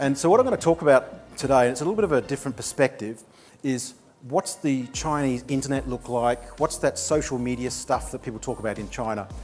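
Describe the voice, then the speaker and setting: A man with an American accent, medium in pitch, talking at a very fast pace over noticeable background noise. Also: ordinary pitch variation. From New Zealand (Nelson). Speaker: digital marketing entrepreneur. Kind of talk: conference presentation. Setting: stage with audience. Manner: casual, conversational.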